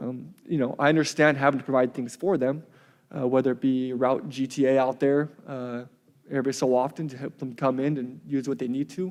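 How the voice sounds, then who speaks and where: A man with a Pacific Northwest accent speaks with fairly even intonation. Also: medium pitch for a man, fairly quick pace. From central Washington, US. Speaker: public commenter, local business owner. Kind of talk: public comment at council meeting. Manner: fast; hesitant, many fillers.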